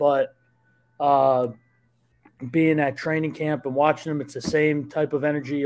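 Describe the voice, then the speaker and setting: Speaking with a New Jersey accent, a man has a fairly high pitch. His intonation is monotone and flat, at a moderate pace. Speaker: sports journalist. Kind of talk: casual podcast chat.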